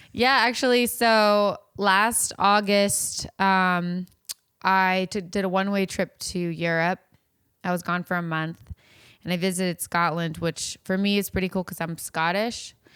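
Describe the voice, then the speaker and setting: A woman with an American accent talks at a fairly slow pace at a medium pitch, in a plain, everyday voice. Her intonation is fairly even, and the recording is very clean with a silent background. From Virginia, US. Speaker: online content creator. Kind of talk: casual chat.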